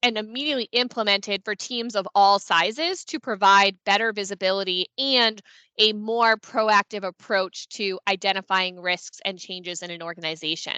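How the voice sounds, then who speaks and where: A woman's bright, sharp tone at a moderate pace, with big swings in loudness and ordinary pitch variation, dry with no echo over a quiet background. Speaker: consulting firm founder presenting a webinar; presenter. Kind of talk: webinar presentation. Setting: online meeting on Teams. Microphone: headset.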